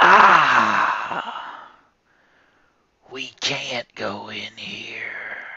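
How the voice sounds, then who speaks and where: This is a raspy, put-on character voice. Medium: read story. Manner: commanding.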